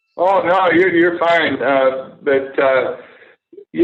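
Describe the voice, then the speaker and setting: Very slow delivery from a man, ordinary pitch variation, audible room echo. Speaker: former major league pitcher and author. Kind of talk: interview. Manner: halting, many fillers.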